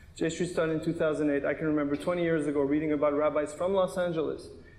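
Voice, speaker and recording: Speaking very fast in a monotone, flat intonation, a man with a fairly high voice is heard with audible room echo. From Canada. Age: 30s. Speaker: attorney and pro-Israel activist. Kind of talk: panel debate. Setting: synagogue stage with audience.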